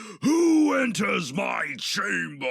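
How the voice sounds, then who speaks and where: Shouting in a put-on character voice, a man speaks at a high pitch. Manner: commanding.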